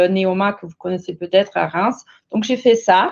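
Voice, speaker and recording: A woman with a German accent speaks at a medium pitch with fairly even intonation. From Germany, Bavaria. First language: German (speaking French). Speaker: corporate manager. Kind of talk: panel presentation. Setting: online webinar. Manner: halting.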